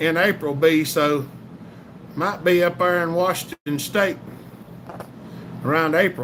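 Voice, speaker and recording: Noticeable background noise sits behind a man speaking with a Southern US accent. His pitch is high, with ordinary variation. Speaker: chainsaw channel livestream host. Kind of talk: casual livestream chat reading comments. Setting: live stream.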